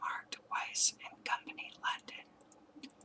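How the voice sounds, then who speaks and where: A woman whispers. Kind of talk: audiobook story reading; ASMR. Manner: whispered.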